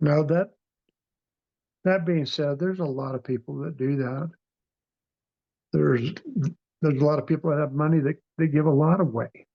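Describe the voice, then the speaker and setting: Fairly high in pitch, a man speaks at a moderate pace with fairly even intonation. His speech has long, frequent pauses. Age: 60s. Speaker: near-death experiencer. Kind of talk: interview testimony. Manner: halting.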